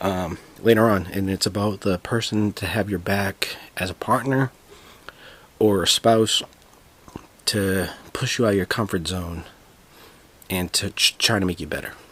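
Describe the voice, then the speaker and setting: Speaking with an American accent, a man uses a fairly low pitch and fairly even intonation at a moderate pace, leaving long, frequent pauses. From Boston, Massachusetts (Dorchester). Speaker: podcaster. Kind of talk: casual monologue. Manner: halting, many fillers.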